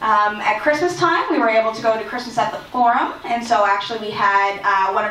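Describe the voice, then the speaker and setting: Amid audible room echo and noticeable background noise, a woman talks at a fairly quick pace with fairly high pitch and lively intonation. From Nova Scotia, Mi'kmaq community (Enfield). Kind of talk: conference presentation. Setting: community hall with audience. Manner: fast; hesitant fillers, unscripted.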